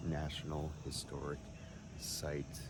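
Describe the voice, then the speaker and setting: A man speaks at a very slow pace. Room echo is audible, and background noise is noticeable. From Boston area, US. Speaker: travel vlogger. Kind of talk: casual travel vlog narration.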